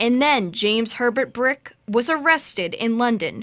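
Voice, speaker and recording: In an American accent, a woman with an unremarkable speaking voice talks at a fairly high pitch with lively intonation. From Boston. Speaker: TV news reporter. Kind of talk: TV news report.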